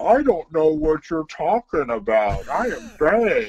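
A man puts on a character voice at a fairly high pitch with very wide pitch swings, the sound dry and close with no echo. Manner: dim-witted.

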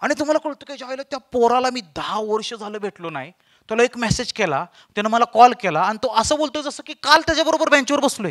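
A man speaks in an animated tone at an extremely high pitch, with lively intonation and big swings in loudness over a quiet background. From Maharashtra, Satara; Maharashtra. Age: 20s. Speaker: motivational speaker and comedian; motivational speaker, comedian. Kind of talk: stand-up storytelling. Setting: stage with audience. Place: stage. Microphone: handheld.

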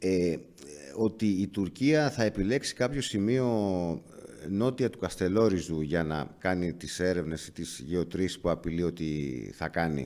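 In a very deep, low pitch, a man talks at a fairly slow pace. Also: lively intonation. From Greece. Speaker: journalist interviewer. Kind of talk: interview. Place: studio. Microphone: studio mic.

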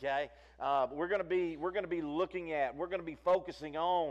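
At a fairly quick pace, a man talks with a fairly high pitch. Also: ordinary pitch variation.

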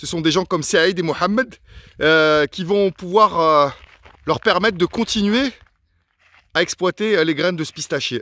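A man speaks with a bright, sharp tone and ordinary pitch variation. The sound is dry with no echo, and he leaves long, frequent pauses. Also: fairly slow pace. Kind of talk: casual vlog commentary. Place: open country. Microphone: phone near.

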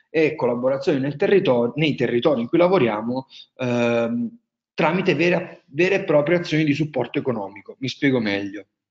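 Speaking at a moderate pace with lively intonation, a man talks in a strong Marche accent against a quiet background. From central Italy, Marche. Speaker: wine tourism entrepreneur; webinar presenter. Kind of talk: webinar presentation. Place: home room.

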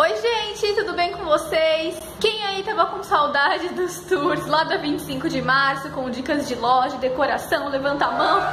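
A woman uses a raised, projected voice at a fairly slow pace, with audible room echo and light background noise. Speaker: lifestyle vlogger. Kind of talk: casual vlog chat. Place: home room. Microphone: phone near.

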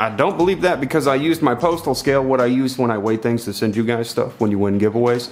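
A man at a very fast pace with hardly any pauses, ordinary pitch variation and very even loudness, music in the background. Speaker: tech reviewer. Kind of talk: casual product review to camera. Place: home room.

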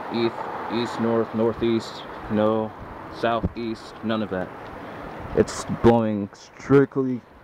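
A man's very slow, monotone, flat delivery with long, frequent pauses, a dry sound with no echo and noticeable background noise. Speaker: amateur weather videographer. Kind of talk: casual vlog narration. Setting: outdoors. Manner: rambling, hesitant with fillers. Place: street. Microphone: new HD camera's built-in mic; phone near.

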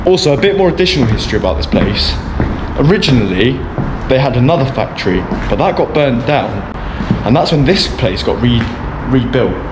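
At a fairly quick pace, a man speaks as noticeable background noise continues behind him. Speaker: urban explorer vlogger. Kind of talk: casual vlog chat. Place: factory. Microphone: phone near.

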